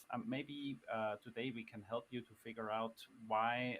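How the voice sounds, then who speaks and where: A man with a non-native accent speaks with fairly even intonation. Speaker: finance guest on podcast livestream. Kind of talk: live-streamed conversation. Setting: live stream. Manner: hesitant, many fillers.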